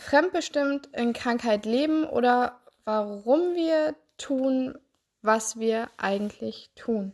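A woman with a high voice speaks at a very slow pace with ordinary pitch variation. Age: 20s. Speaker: health coach and therapist podcaster. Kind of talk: solo podcast monologue.

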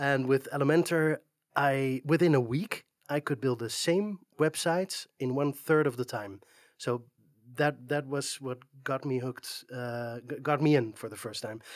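A man with a Dutch accent and fairly high pitch, at a moderate pace with ordinary pitch variation, in a dry, close sound with no echo. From Netherlands. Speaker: community moderator and web developer. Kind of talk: interview. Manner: hesitant, many fillers.

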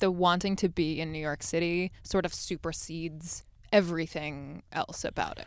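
A woman speaks at a moderate pace with a Californian accent. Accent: General American, Californian. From US West Coast, Los Angeles. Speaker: Broadway actress and podcaster. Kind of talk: casual chat.

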